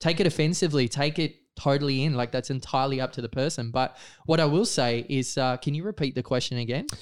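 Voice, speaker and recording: An Australian-accented man talks at a very fast pace. His fairly high pitch varies in an ordinary way. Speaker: photographer and freedom-movement activist. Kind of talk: casual interview chat. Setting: studio.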